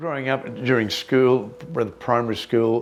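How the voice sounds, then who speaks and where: A man with an Australian accent at a fairly slow pace, over noticeable background noise. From Australia, Brisbane (Greek family). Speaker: community elder interviewee. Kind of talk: oral history interview. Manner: hesitant, many fillers.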